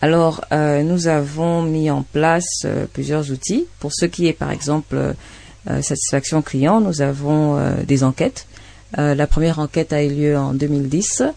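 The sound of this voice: This woman speaks at a moderate pace in a low voice with a dark, mellow tone, some vocal fry and fairly even intonation.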